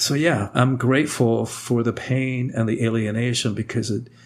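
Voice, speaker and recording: A man speaks at a medium pitch with vocal fry. His intonation stays fairly even. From Cuba. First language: Spanish. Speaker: author and speaker. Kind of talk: podcast interview.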